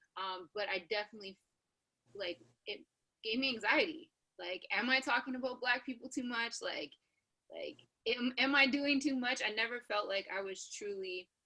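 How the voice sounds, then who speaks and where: A woman with an American accent speaks at a moderate pace in a high pitch, her bright, sharp tone and lively intonation set between long, frequent pauses. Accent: sounds American. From Canada. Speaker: radio personality. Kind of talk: panel discussion. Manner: casual, many fillers.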